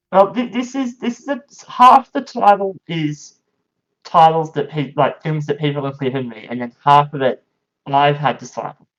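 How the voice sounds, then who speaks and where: The speaker has an Australian accent and a moderate pace. Pitch swings very widely, and loudness rises and falls a lot. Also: man, fairly high pitch for a man. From Australia, regional Queensland. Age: 20s. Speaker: powerchair football player and commentator. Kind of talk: casual podcast interview. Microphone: lower quality, cutting out in first minutes.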